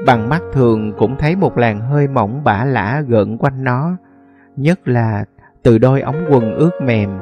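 A man speaks with music in the background. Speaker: audiobook narrator. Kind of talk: short story reading.

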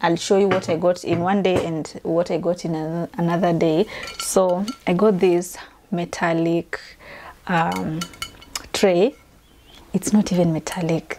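With noticeable background noise, a woman speaks at a fairly slow pace in a fairly low voice, using fairly even intonation and long, frequent pauses. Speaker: home vlogger. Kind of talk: casual vlog chat. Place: home room. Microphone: lapel.

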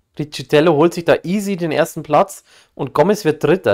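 There is vocal fry in this man's voice as he talks at a fairly quick pace. The recording is very clean with a silent background. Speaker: gaming streamer. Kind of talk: casual chat.

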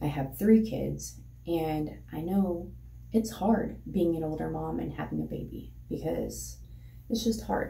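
A woman's voice with audible room echo. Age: 30s. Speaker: vlogger. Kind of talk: casual chat. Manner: rambling, fast. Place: home room. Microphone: phone near.

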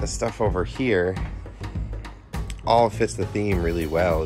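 A man talks at a fairly slow pace. Music plays clearly behind him. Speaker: travel vlogger. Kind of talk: casual vlog chat. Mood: enthusiastic, pleased. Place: tent. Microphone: phone near.

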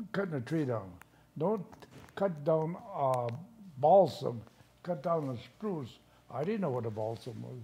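Speaking at a fairly slow pace with long, frequent pauses, a man uses a fairly high, somewhat breathy voice of dark, mellow tone and lively intonation. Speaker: grandfather recalling childhood. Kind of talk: interview answer.

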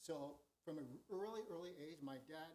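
A man's voice is somewhat breathy. His intonation stays fairly even. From Southern California, Long Beach. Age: 60s. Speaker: retired school superintendent. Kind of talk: informal presentation at board meeting. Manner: hesitant, many fillers.

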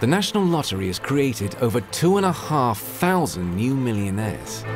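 A man talks at a moderate pace, his pitch swinging very widely. Clear music plays in the background. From Southern England. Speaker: voice actor. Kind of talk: documentary narration. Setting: home studio. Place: booth.

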